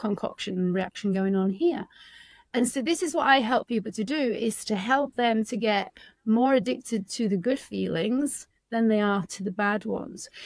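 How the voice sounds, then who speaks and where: In a fairly high pitch with a northern English accent, a woman speaks at a moderate pace with ordinary pitch variation in a dry, close sound with no echo on a very clean recording with a silent background. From northern England. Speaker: addiction recovery coach. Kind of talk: podcast interview.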